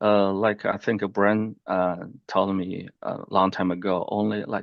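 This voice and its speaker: A man with a strong Chinese accent speaks at a fairly slow pace. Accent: thick Chinese. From China. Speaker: real estate investor, military veteran. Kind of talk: interview, personal story. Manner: halting, many fillers.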